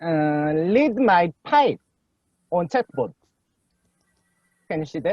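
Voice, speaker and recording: Pitched high for a man, he talks very slowly with lively intonation and long, frequent pauses. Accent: Korean. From South Korea. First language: Korean. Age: young. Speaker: PhD student presenting a paper. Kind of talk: academic paper reading; casual chat. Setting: video call.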